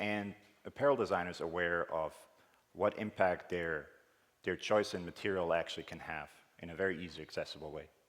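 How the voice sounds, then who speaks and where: Delivered at a moderate pace in a Swiss accent, the speech has ordinary pitch variation, big swings in loudness and long, frequent pauses. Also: man. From Switzerland. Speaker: conference speaker, technical director. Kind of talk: conference talk. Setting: conference stage with audience.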